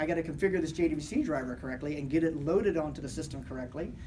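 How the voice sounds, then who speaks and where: The words come at a very fast pace, with noticeable background noise behind them. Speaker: conference speaker on software development. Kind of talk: technical conference talk.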